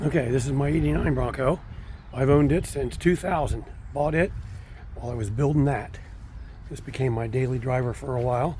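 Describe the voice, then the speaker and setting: Amid noticeable background noise and audible room echo, a man speaks at medium pitch with ordinary pitch variation and long, frequent pauses. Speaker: car collector. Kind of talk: casual walkaround video. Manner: halting with many fillers.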